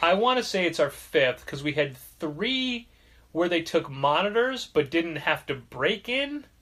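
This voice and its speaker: A man's high, bright, sharp voice, fairly slow, with very wide pitch swings. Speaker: podcast host.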